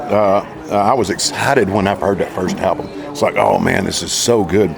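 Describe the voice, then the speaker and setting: Over noticeable background noise, a man with a Southern US accent talks at a fairly quick pace in a fairly low pitch. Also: ordinary pitch variation. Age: 60s. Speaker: country singer. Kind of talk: interview.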